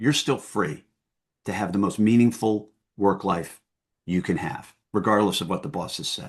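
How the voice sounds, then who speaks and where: A normal speaking voice at a moderate pace. The background is quiet. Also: man. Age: 60s. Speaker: former company CEO and founder. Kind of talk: interview conversation.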